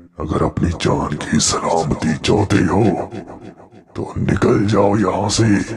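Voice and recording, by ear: The pitch varies in an ordinary way as the speaker reads aloud in a natural voice.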